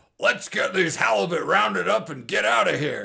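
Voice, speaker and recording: A man's raspy, fairly high put-on character voice at a moderate pace. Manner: silly, character-y.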